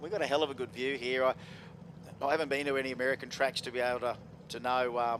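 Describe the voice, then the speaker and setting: A man with an Australian accent speaks at medium pitch and a very fast pace, with long, frequent pauses. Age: 50s. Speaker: drag racing commentator. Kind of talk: live commentary. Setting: broadcast area at racetrack. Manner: animated.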